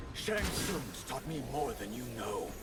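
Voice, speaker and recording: Against loud background noise, a man puts on a character voice at a fairly high pitch. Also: fairly slow pace. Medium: video game. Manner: taunting.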